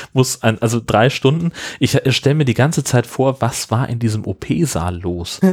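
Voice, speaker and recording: With lively intonation and a somewhat breathy voice, a man talks at a moderate pace. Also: medium pitch for a man. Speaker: podcast co-host. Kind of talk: casual chat.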